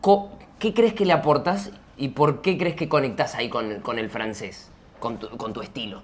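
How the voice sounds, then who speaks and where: A man in an Argentine accent talks at a moderate pace, pitch fairly high and swinging very widely. Noticeable background noise is present. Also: big swings in loudness. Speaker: interviewer, video creator. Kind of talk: casual interview chat.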